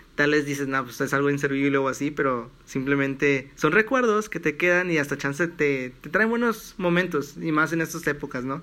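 A man's fairly high voice, bright and sharp in tone, at a fairly quick pace, in a very clean recording with a silent background. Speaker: podcast host and economics student. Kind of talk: casual chat. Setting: at home in his bedroom.

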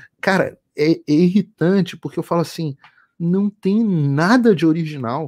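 On a very clean recording with a silent background and dry, close sound with no echo, a man speaks at a fairly slow pace with high pitch and ordinary pitch variation. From Rio de Janeiro, Brazil. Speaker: journalist. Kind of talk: casual chat.

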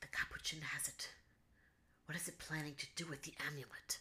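A husky, put-on character voice whispers. The pace is fairly quick. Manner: quiet, polite, worried.

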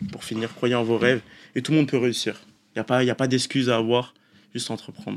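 Very fast pace yet long, frequent pauses from a man at medium pitch with fairly even intonation. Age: 20s. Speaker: esports player. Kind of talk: interview. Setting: studio.

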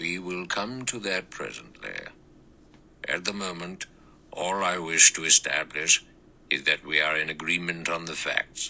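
Using a put-on character voice, a man with a very deep, low pitch speaks at a moderate pace with fairly even intonation and long, frequent pauses. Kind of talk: courtroom speech. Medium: read story. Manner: measured, precise, authoritative.

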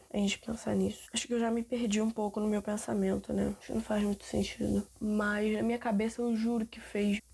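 Barely pausing, a woman talks at a fairly quick speed. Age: 20s. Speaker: podcaster, university student. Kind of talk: casual solo monologue. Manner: informal, rambling conversational.

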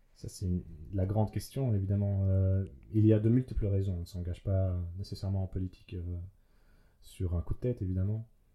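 A man speaks at a fairly quick pace in a fairly low, somewhat breathy voice with a dark, mellow tone, fairly even intonation, and long, frequent pauses. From Belgium, Liège region. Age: 30s. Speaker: youth political representative. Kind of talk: casual conversation.

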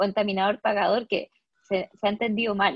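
At a fairly quick pace, a woman talks with a medium pitch. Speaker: environmental lawyer. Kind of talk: interview. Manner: hesitant, frequent fillers.

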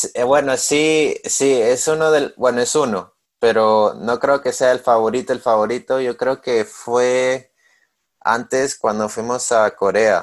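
Here a man speaks at a very slow pace. His voice has a medium pitch. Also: ordinary pitch variation, quiet background. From Peru. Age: 20s. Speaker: swimming podcast co-host and student athlete. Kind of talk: casual chat.

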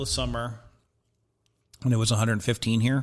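A man with an American accent speaks at a very fast pace, somewhat breathy. The recording is very clean, with a silent background. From Southern California. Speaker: barbecue enthusiast. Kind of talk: casual chat.

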